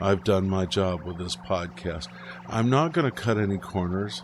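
A man talks with ordinary pitch variation. Behind him there is noticeable background noise. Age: 50s. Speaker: pastor and podcast host. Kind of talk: casual monologue.

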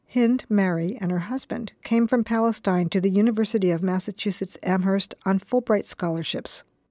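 A woman speaks in a normal speaking voice at a medium pitch and moderate pace with ordinary pitch variation, the sound dry and close with no echo, in a very clean recording with a silent background. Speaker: narrator, project managing director. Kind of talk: scripted narration.

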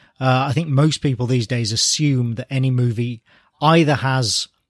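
An English accent at a moderate pace, with a dry, close sound and no echo. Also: man, very clean recording, silent background. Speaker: comic book writer. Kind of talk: casual interview.

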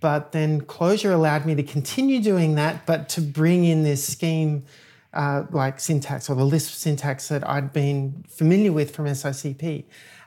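In an American accent, a woman speaks at a moderate pace with fairly even intonation. Her very deep, low voice has a dark, mellow tone on a very clean recording with a silent background. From Australia. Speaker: software engineer. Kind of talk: technical interview. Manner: hesitant, many fillers.

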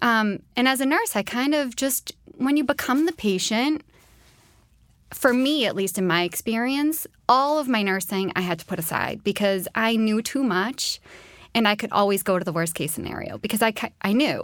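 With lively intonation, a woman in a plain, everyday voice speaks at a fairly high pitch and moderate pace on a very clean recording with a silent background. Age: 30s. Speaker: nurse and cancer survivor. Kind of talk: interview testimony.

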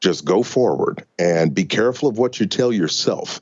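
Talking at a moderate pace is a man. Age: 40s. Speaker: financial author and coach. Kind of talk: interview.

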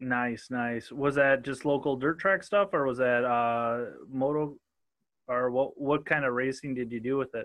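Fairly even intonation marks this man's speech. His pitch is medium and his pace fairly slow. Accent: Minnesotan. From southern Minnesota. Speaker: podcast host. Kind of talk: casual interview chat. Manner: casual, joking.

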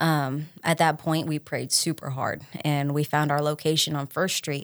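A woman's very deep, low voice in a Tennessee accent, monotone and flat, at a fairly slow pace, with a dry, close sound with no echo and a very clean recording, silent background. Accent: Southern US (Tennessee). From West Tennessee, Troy. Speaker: bakery owner. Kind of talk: interview. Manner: halting, many fillers.

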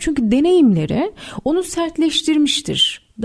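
With a dark, mellow tone, a woman speaks at a fairly slow pace, her pitch swinging very widely. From Istanbul, Turkey. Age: 30s. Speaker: writer. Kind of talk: radio interview. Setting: radio studio.

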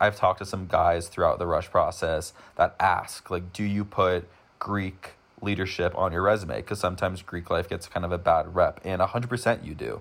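A man talks at a moderate pace with an American accent. His is a normal speaking voice, fairly low in pitch. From US, Denver, Colorado. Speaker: university student. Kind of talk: casual interview. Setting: remote recording.

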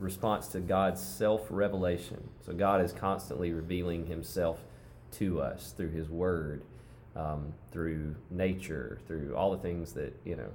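In a room with audible echo, a man with a very deep, low voice speaks very slowly, his pitch varying in an ordinary way. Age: 30s. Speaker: worship leader and musician. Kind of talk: casual chat.

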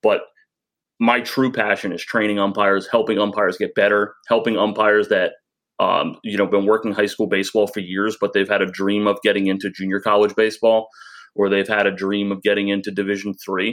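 The speech runs at a fairly quick pace with monotone, flat intonation against a quiet background. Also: man, fairly low pitch for a man. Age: 30s. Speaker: umpire organization president. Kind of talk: interview.

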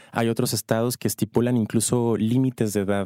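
Dark and mellow, the tone sits low. Everything sounds dry and close, without any echo. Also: man, very clean recording, silent background. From northern Mexico, Ciudad Juárez. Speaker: doctor. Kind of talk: casual interview.

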